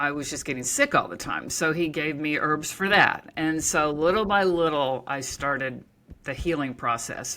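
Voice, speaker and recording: In an American accent, a woman speaks with a very deep, low pitch and a bright, sharp tone. Her pitch varies in an ordinary way on a very clean recording with a silent background. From Oklahoma. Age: 60s. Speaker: author and naturopath. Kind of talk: interview conversation. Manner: casual, conversational with many fillers.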